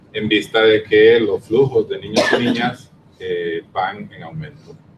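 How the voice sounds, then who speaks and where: Noticeable background noise runs under the clip. A man speaks at a moderate pace. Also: big swings in loudness. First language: Spanish. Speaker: panelist. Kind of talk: panel presentation.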